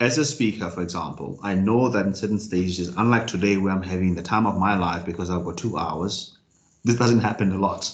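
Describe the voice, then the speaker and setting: Amid audible room echo, a man talks at a fairly quick pace in a fairly low pitch with ordinary pitch variation. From South Africa, Free State. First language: Sesotho. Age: 30s. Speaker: motivational speaker and executive coach. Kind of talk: talk to online business group. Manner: fast, about 150 words per minute.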